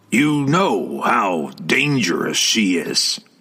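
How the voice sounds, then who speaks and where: A man uses a put-on character voice that is gruff and growling. His pitch is medium and his pace very slow. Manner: growling, warning.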